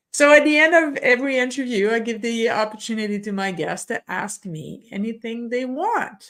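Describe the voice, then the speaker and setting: The speaker has a French Canadian accent and lively intonation. The pace is moderate. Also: woman. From Quebec. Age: 50s. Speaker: podcast host. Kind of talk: interview. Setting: video call.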